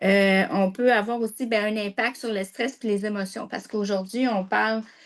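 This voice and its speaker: A woman with a Quebec accent, fairly high-pitched and monotone, at a moderate pace against a quiet background. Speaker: health presenter. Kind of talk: informational talk.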